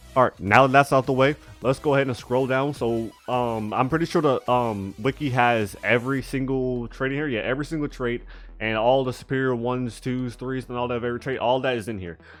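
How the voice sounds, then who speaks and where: Music plays in the background as a man speaks fairly quickly at a medium pitch with fairly even intonation. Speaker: gaming YouTuber. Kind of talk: gaming tutorial. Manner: fast; slurring.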